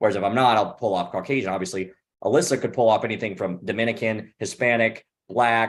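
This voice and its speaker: A man with an American accent, medium pitch and ordinary pitch variation. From Missouri, US Midwest. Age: 30s. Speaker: actor and panelist. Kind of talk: casual panel chat. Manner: fast-talking.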